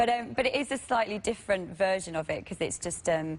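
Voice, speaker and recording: Fairly quick, ordinary-pitched speech from a woman with ordinary pitch variation. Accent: northern English. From northern England. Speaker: actor. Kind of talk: talk show interview.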